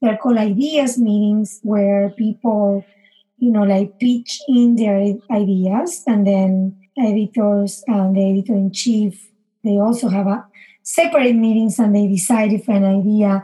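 Slow-paced and somewhat breathy, a woman's fairly high voice has a dark, mellow tone and ordinary pitch variation. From Argentina, Buenos Aires. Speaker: chef. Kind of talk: casual interview. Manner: animated.

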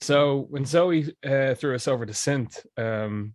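A man speaks with a Dublin accent. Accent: Irish, Dublin. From Dublin, Ireland (Glasnevin). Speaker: musician. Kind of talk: casual chat.

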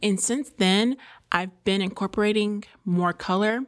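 A woman with fairly even intonation on a very clean recording with a silent background. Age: 20s. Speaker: podcast host and YouTuber. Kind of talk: casual solo chat. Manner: filler-heavy, halting.

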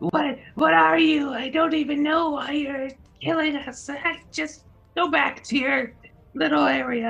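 In a put-on character voice, the speaker uses a high pitch at a fairly slow pace. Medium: actual play. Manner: shocked and whiny, then flippant.

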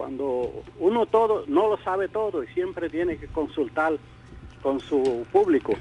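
The intonation is lively. The pace is fairly slow. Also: man. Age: old. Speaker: retired politician. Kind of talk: radio interview. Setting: radio studio.

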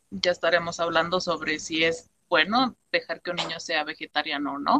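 The sound is dry and close with no echo, carrying ordinary pitch variation at a moderate pace. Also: woman. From Mexico, Temixco, Morelos. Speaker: nutrition student. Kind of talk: casual chat.

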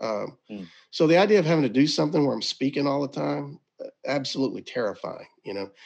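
Against a quiet background, a man with a Southern US accent talks at a very fast pace and fairly high pitch, with lively intonation, big swings in loudness and vocal fry. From Mississippi. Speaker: ministry director. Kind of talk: casual interview. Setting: video call.

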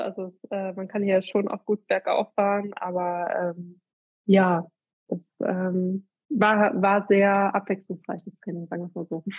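Her voice somewhat breathy, a woman speaks at medium pitch and a fairly slow pace, with fairly even intonation and big swings in loudness. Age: 30s. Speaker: amateur long-distance cyclist. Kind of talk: casual interview.

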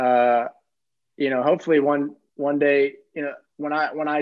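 Fairly high in pitch, a man with an American accent speaks at a moderate pace with fairly even intonation. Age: 30s. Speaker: former college basketball player, pro basketball player. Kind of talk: casual chat. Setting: video call.

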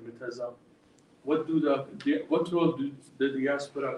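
Over noticeable background noise, a man with an Arabic accent speaks at a moderate pace with fairly even intonation. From Jordan. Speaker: professor. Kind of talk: lecture. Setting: stage with audience.

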